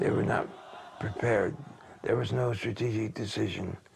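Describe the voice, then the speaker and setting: Crowd noise fills the background. A man with an American accent speaks at a moderate pace. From United States. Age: 80s+. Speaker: political scholar. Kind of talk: interview answer. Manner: soft-spoken, quiet.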